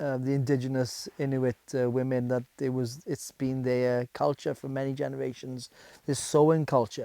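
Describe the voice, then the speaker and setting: In a South Welsh accent, a man speaks with a dark, mellow tone and monotone, flat intonation, the sound dry and close with no echo. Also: medium pitch for a man, moderate pace. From Wales, the Welsh valleys. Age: 50s. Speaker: bushcraft instructor. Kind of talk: documentary interview. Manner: hesitant, many fillers.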